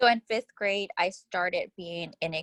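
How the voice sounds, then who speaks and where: The voice has vocal fry and ordinary pitch variation. It moves at a fairly slow pace. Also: woman. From Houston, Texas. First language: Spanish. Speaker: interviewee. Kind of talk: interview.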